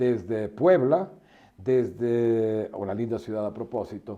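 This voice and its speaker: A man speaks with a dark, mellow tone. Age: 70s. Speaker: veteran sports broadcaster. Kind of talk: interview.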